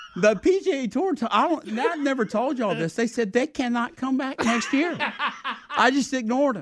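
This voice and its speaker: The speaker talks at a fairly quick pace with lively intonation in a Southern US accent. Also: man, extremely high pitch for a man. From South Carolina. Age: 60s. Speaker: sports event executive. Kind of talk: casual interview.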